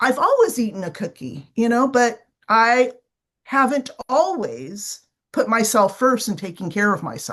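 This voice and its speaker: A woman speaks fairly slowly with vocal fry and lively intonation. Her pitch is fairly high. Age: 60s. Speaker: business owner living with type 2 diabetes. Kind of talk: podcast interview.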